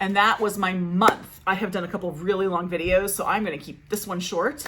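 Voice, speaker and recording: A woman at medium pitch and a fairly quick pace. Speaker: book vlogger. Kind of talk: casual monthly reading wrap-up vlog. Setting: home recording setup. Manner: fast; chatty, babbling. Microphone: makeshift setup due to microphone issues.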